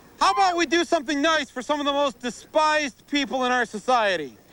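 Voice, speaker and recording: An extremely high-pitched man's voice, raised and projected, bright and sharp in tone, at a very fast pace. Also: ordinary pitch variation. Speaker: TV host. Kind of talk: TV show host link.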